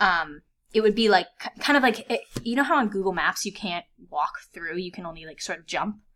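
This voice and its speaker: A woman with an American accent speaks at a fairly quick pace in a medium pitch, her bright, sharp tone and lively intonation broken by long, frequent pauses and big swings in loudness, on a very clean recording with a silent background. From US, northern Virginia (DC suburbs). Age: 20s. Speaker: virtual reality content producer. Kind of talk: casual interview.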